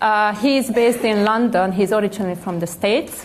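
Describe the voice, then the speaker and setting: Speaking with a Hungarian accent at a moderate pace, the voice shows ordinary pitch variation amid audible room echo. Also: woman. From Hungary, Budapest. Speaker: panel moderator. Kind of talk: panel discussion. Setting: stage with audience.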